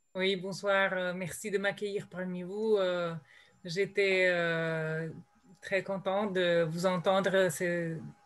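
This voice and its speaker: Spoken very slowly in a Slovenian accent, the voice stays monotone with flat intonation. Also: woman. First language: Slovene (speaking French). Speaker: translator. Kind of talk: panel discussion. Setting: video call. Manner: hesitant, with many fillers.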